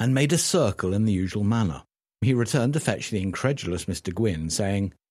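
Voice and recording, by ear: Over a quiet background, someone is reading aloud. They do so in a natural voice.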